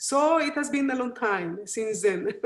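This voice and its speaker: Speaking in a Costa Rican accent, a woman with a high pitch keeps a moderate pace. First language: Spanish. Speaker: volcanologist. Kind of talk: interview. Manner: halting.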